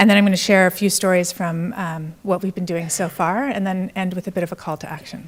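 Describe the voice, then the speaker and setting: This woman talks at a very fast pace with an American accent. Her pitch is fairly low and her intonation fairly even. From Canada. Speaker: entrepreneur and conference speaker. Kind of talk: conference keynote talk. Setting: stage with audience.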